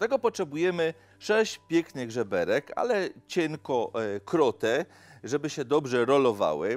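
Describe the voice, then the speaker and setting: The man's moderate delivery is accompanied by faint background music. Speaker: TV cooking show host. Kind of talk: cooking show presentation. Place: studio.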